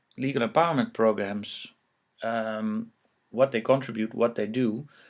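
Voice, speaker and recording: The speech comes with a Dutch accent at a fairly slow pace and ordinary pitch variation, in a very clean recording with a silent background. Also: man. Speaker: researcher presenting on legal empowerment. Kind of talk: lecture. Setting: presentation with slides. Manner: halting, many fillers.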